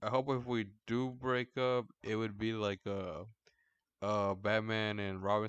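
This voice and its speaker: The background is quiet as a man speaks. His voice sounds dry and close, with no echo. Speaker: podcast host. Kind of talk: casual chat. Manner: monotone; deadpan.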